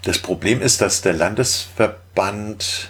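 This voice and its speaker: A man talks very slowly in a very clean recording with a silent background. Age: 50s. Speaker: caver. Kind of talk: casual chat.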